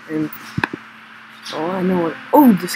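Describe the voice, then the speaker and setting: At a moderate pace, the voice is heard over noticeable background noise. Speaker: gaming youtuber. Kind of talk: casual gameplay commentary. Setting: home recording, screen capture. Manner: filler-heavy, halting.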